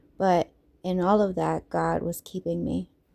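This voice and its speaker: A woman with a normal speaking voice and a fairly low pitch talks at a fairly slow pace. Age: 30s. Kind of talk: personal testimony storytime.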